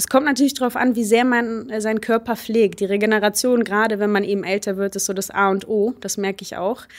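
A woman with a fairly high pitch and an ordinary speaking voice talks at a fairly quick pace with fairly even intonation. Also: hardly any pauses. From Germany, Baunatal, Hesse. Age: 20s. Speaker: hurdles sprinter. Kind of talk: casual interview.

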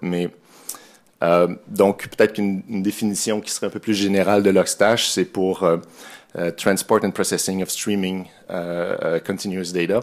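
In a Quebec accent, a man with a very deep, low pitch speaks with monotone, flat intonation at a moderate pace against a quiet background. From Quebec, Montreal. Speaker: software developer, conference speaker. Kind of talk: technical conference talk; conference tech talk. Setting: conference room with audience. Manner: hesitant, many fillers. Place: hall.

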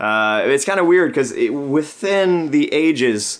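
A man at a fairly slow pace, his intonation lively. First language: French. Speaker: beer channel co-host, brewing student. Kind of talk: casual chat. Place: home room.

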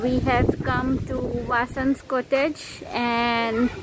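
Over loud background noise, a woman talks in a dry sound with no echo. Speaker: travel vlogger. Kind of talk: casual vlog chat. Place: garden. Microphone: phone near.

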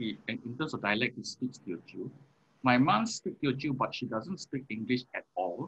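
The pace is moderate for this man. He uses lively intonation. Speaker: interview guest. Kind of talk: interview answer. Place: home room. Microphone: video call.

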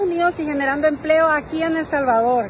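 Light background noise sits under a dry, echo-free recording of a woman talking at a fairly quick pace with fairly even intonation. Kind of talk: casual live-stream chat. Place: beach. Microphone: phone near.

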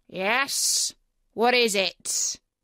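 A woman takes on a put-on character voice, growling at a very slow pace and a fairly high pitch. Her tone is bright and sharp, and also clear and smooth. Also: ordinary pitch variation, dry, close sound with no echo.

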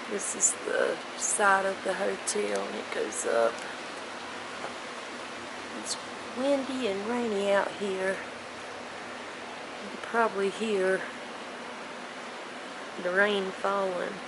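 The pace is very slow, with long, frequent pauses. Loud background noise runs underneath. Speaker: travel vlogger. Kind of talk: casual vlog chat. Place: rain. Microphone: phone near.

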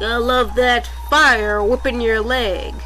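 With clear music in the background, a put-on character voice speaks at a fairly high pitch and a fairly slow pace.

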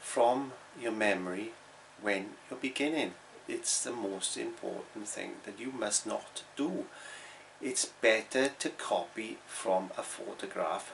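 Light background noise sits behind a man who speaks at a very slow pace. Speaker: painting teacher. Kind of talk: tutorial. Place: home room. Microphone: phone near.

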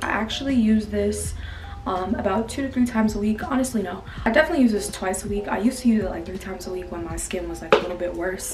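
A woman's voice with ordinary pitch variation, faint music in the background. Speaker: beauty vlogger. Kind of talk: casual vlog chat. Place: home room. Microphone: phone near.

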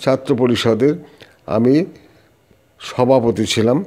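A man with a dark, mellow tone speaks at medium pitch with ordinary pitch variation. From West Bengal, North 24 Parganas. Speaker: veteran politician and teacher. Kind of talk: interview. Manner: animated.

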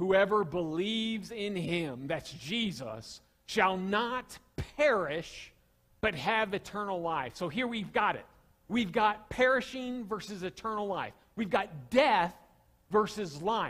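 With a Southern US accent, a man talks at a very slow pace in a high pitch with lively intonation against a quiet background. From US South. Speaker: pastor. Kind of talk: sermon. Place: church. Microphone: headset.

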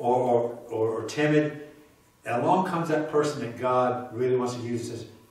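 A man's medium-pitched voice with ordinary pitch variation, a slightly mellow tone, a moderate pace and strong room echo

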